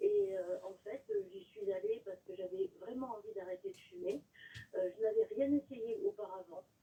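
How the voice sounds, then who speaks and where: Big swings in loudness from a woman talking at a moderate pace. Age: 60s. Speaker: caller, nurse. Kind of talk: testimony. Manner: halting, many filler sounds.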